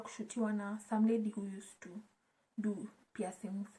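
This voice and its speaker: A woman's fairly high, somewhat breathy voice with a dark, mellow tone. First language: Swahili. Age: 20s. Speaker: YouTuber. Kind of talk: casual vlog chat. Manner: code-switching between English and Swahili.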